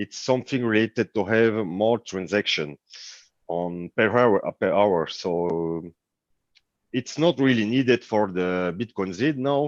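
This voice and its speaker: A man with a French accent, fairly low-pitched and fairly slow, in a dry, close sound with no echo and a quiet background. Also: lively intonation. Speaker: cryptocurrency developer. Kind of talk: online meeting. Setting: livestreamed online meeting. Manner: halting.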